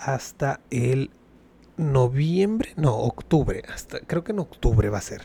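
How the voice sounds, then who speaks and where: A man talks at a very slow pace, his pitch fairly high and his tone dark and mellow. The voice is somewhat breathy, with lively intonation. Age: 20s. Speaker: podcast host. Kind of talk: casual solo commentary.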